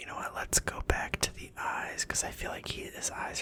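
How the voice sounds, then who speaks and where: Whispering at a fairly quick pace comes through noticeable background noise. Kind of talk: ASMR whispered gameplay commentary. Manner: casual, thinking aloud.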